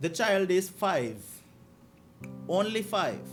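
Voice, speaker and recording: A man's voice with vocal fry, in a Grenadian accent. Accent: Grenadian Caribbean. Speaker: commentator on a news story. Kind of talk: commentary on a played clip.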